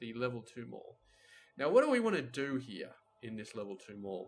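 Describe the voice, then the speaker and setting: Medium-pitched male speech in an Australian accent. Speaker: gaming video creator. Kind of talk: gameplay commentary. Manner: casual, rambling.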